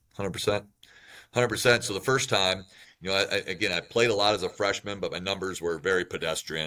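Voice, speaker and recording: In a very clean recording with a silent background, a man with an American accent talks at a very fast pace, his very deep, low voice bright and sharp in tone, with ordinary pitch variation. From Wisconsin, US Midwest. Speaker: college basketball coach. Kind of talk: interview. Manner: loud, talkative.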